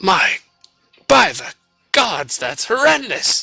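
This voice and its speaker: Faint music plays behind a man doing a raspy, put-on character voice, high-pitched, at a very slow pace. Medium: actual play.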